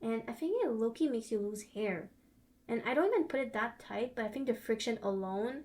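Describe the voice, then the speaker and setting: A woman's fairly high voice with a non-native accent at a fairly quick pace. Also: ordinary pitch variation. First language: not English. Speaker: beauty and lifestyle vlogger. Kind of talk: advice monologue.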